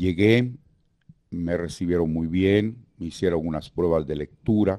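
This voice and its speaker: Speaking at a very slow pace, a man with a Guatemalan accent has a very deep, low pitch, a dark, mellow tone and ordinary pitch variation. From Guatemala (Guatemala City). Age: 70s. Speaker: veteran radio announcer and actor. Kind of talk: interview reminiscence. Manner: halting.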